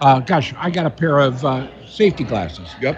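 Fairly slow speech with an American accent amid noticeable background noise. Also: man. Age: 60s. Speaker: radio talk show host. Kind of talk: radio talk show. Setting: live remote broadcast at an expo lobby.

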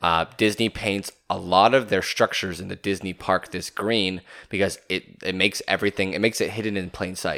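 A man's fairly low, bright, sharp voice in an upbeat, animated tone, fairly quick with hardly any pauses, on a very clean recording with a silent background. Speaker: podcast host. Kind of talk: casual chat.

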